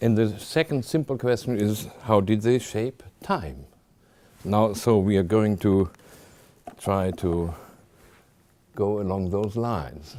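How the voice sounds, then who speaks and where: Very slow, lively intonation from a man with a fairly low pitch and a dark, mellow tone. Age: 70s. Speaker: visiting scholar, lecturer on Buddhist art. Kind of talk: lecture. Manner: hesitant, many fillers.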